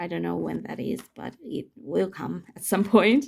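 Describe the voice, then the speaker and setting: The pace is moderate. A woman talks with a non-native accent. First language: not English. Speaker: tarot YouTuber. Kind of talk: casual video chat showing tarot decks. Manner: halting, searching for words.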